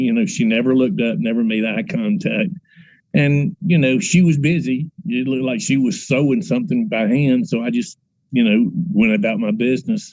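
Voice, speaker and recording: A plain, everyday voice at a moderate pace. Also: man. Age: 60s. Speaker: paranormal investigator. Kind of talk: casual interview.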